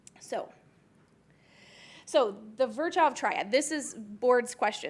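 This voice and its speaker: A woman with an American accent, lively intonation and a moderate pace. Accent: Chicago accent, coming back. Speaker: podiatric surgeon, conference speaker. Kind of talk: lecture.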